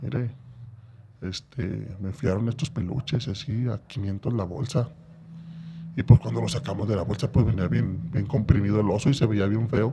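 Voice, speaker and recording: A somewhat breathy, dark, mellow tone with ordinary pitch variation. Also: man. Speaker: former prisoner. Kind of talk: personal testimony in casual interview.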